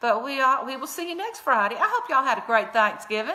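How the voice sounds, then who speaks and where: Over noticeable background noise, a woman with a Southern US accent uses a raised, projected voice at a high pitch. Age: 60s. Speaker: comedy vlogger. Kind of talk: casual chat; comedic obituary reading.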